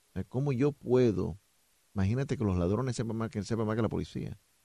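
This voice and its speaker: A man speaks at a moderate pace with a medium pitch, ordinary pitch variation and a dark, mellow tone. The sound is dry and close, with no echo. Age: 40s. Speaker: police spokesman. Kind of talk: radio interview.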